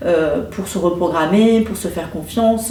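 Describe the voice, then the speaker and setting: Over noticeable background noise and audible room echo, a woman speaks. Her pace is very slow, with ordinary pitch variation. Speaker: intuitive card reader and energy healer. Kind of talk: card reading guidance. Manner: hesitant, many fillers.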